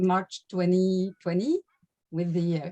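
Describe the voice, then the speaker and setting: A woman with a French-Canadian accent talks at a medium pitch, recorded with a dry, close sound and no echo. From Quebec. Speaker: laughter yoga leader. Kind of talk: workshop self-introduction. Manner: halting, many fillers.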